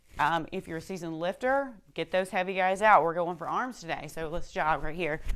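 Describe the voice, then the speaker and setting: Quiet but energetic, a woman with a fairly low pitch and ordinary pitch variation talks at a fairly quick pace with hardly any pauses on a very clean recording with a silent background. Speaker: fitness instructor. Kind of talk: workout instruction.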